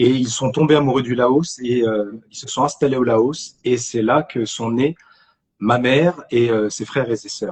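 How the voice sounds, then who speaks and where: Somewhat breathy, a man speaks at a moderate pace in a medium pitch. His intonation stays fairly even. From France, Argenteuil (Paris suburbs). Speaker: actor. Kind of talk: casual chat. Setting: live stream. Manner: halting, many repetitions.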